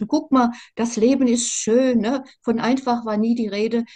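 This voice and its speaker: A woman's fairly high, somewhat breathy voice in a Mainz accent, fairly slow and fairly even in intonation, over a quiet background. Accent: Mainz-area regional dialect. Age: 60s. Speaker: survivor of narcissistic abuse sharing her story; interviewee. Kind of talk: personal testimony interview. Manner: halting, many fillers and repetitions. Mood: earnest, emotional. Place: home room. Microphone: video call.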